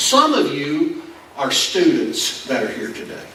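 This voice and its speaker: Raised and projected, a man's voice with a Kentucky accent makes very wide pitch swings amid noticeable background noise and audible room echo. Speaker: pastor. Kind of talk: sermon. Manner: halting.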